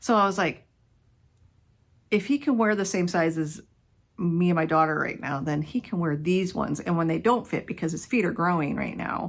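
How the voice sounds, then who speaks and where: With an American accent and a plain, everyday voice, a woman speaks fairly low at a moderate pace with lively intonation. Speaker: knitting podcaster. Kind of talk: casual chat.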